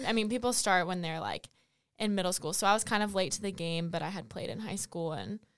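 On a very clean recording with a silent background, a woman with an American accent and vocal fry talks at a fairly quick pace with ordinary pitch variation. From US South, Fayetteville, North Carolina. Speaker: college student athlete. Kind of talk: casual interview. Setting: podcast studio.

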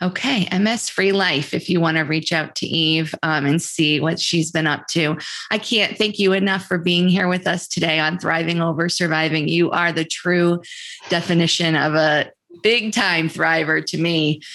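A woman speaks in a normal speaking voice at a fairly low pitch. Her intonation is fairly even and her loudness very even. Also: moderate pace. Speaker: podcast host. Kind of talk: casual interview.

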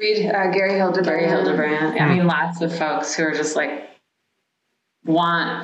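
At a moderate pace, a woman with an American accent speaks in an ordinary speaking voice, fairly low in pitch, with fairly even intonation and very even loudness. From Washington DC area (Maryland side). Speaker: landscape architect, firm co-founder. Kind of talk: casual interview conversation.

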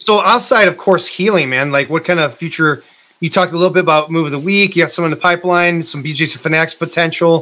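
Very fast and high-pitched, a man speaks in a bright, sharp tone with fairly even intonation. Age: 40s. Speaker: podcast host, martial arts gym owner. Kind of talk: casual interview.

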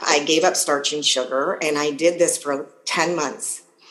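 A woman with an American accent speaks at a fairly slow pace. Noticeable background noise can be heard. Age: 50s. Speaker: health and life coach. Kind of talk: interview.

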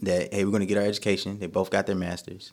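A man with an American accent in a monotone, flat intonation. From North Carolina, Durham. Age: 20s. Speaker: comedian, army reservist. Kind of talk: casual chat.

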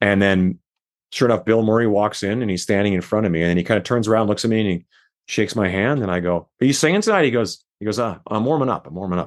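Very fast and fairly low in pitch, a man speaks with a Canadian accent and ordinary pitch variation. The background is quiet. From Saskatchewan, Canada. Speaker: rock musician. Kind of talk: interview.

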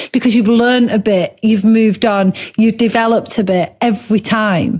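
Somewhat breathy woman's voice, fairly high in pitch, with ordinary pitch variation. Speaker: podcast host. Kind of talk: casual chat. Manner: fast talker.

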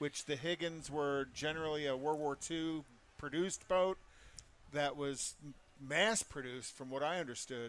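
At a moderate pace, a man talks with an unremarkable speaking voice pitched fairly high. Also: fairly even intonation. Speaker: co-host. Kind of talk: casual interview.

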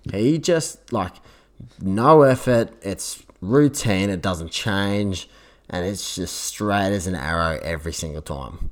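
Speaking very slowly with an Australian accent, a man with fairly low pitch makes very wide pitch swings. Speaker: podcast co-host. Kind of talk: casual chat.

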